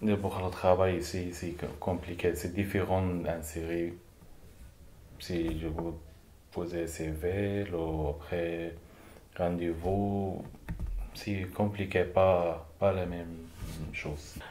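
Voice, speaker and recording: A man speaks very slowly in a very deep, low voice with monotone, flat intonation. Long, frequent pauses break up his words, and audible room echo surrounds them. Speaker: vocational trainee. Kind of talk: testimony. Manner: halting.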